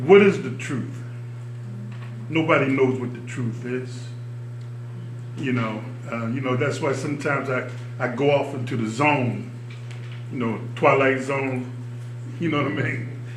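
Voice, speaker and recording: A man with an American accent speaks at a medium pitch with fairly even intonation and long, frequent pauses. Noticeable background noise and audible room echo fill the recording. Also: fairly slow pace. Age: 70s. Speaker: Vietnam-era veteran, audience member. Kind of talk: audience discussion comment. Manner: halting.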